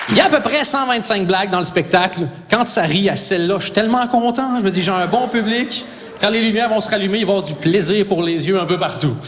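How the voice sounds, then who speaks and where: In a Quebec accent, a high-pitched man talks at a fairly quick pace with ordinary pitch variation, with audible room echo and noticeable background noise. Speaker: stand-up comedian. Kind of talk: stand-up. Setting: stage with audience.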